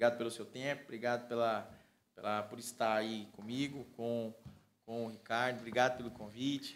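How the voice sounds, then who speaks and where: With light background noise behind him, a man speaks at a moderate pace in monotone, flat intonation. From Porto Nacional, Tocantins, Brazil; Tocantins, Brazil. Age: 30s. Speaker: civil engineer and pastor; pastor. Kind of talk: casual interview. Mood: calm, warm, proud. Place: studio. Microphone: studio mic.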